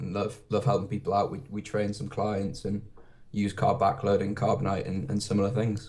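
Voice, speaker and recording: With a British accent and a somewhat breathy voice, a man speaks at a moderate pace in a fairly low pitch with ordinary pitch variation. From UK. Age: 20s. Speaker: fitness blogger. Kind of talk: podcast interview. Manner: hesitant, many fillers.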